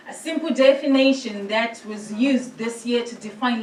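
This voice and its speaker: Speaking at a fairly slow pace, a woman with a fairly high pitch is heard amid noticeable background noise and audible room echo. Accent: Zimbabwean. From Zimbabwe. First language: Shona. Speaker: priest. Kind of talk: presentation to a church synod.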